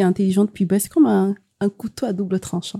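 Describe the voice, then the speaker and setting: Close and dry with no echo, a woman's somewhat breathy voice carries a dark, mellow tone at a fairly quick pace. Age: young. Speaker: copywriter. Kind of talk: casual chat.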